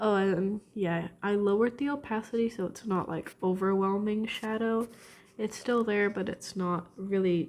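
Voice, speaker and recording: A woman speaks at a moderate pace and medium pitch. She has an ordinary speaking voice. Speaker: drawing video creator. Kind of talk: casual drawing commentary. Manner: casual with fillers.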